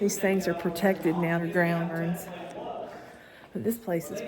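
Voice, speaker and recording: Against noticeable background noise and audible room echo, a woman with a Southern US accent speaks in a fairly low pitch, leaving long, frequent pauses. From Florida. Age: 60s. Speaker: yarn crafting vlogger. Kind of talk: casual vlog narration. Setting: cave tour.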